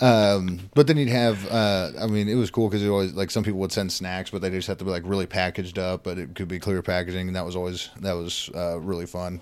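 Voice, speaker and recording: The delivery runs at a very fast pace with hardly any pauses. The intonation stays fairly even. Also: man, very deep, low pitch for a man. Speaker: military veteran. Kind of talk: casual podcast chat.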